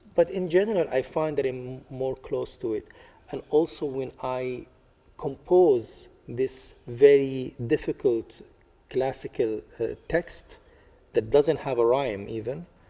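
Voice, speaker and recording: A man with an Arabic accent speaks at a very slow pace. His voice is fairly high yet dark and mellow in tone, with ordinary pitch variation. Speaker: artist. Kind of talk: interview. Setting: library. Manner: halting, many fillers.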